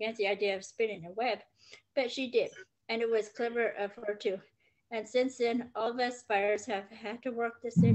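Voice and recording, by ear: The recording has a quiet background. It features reading aloud in a natural voice.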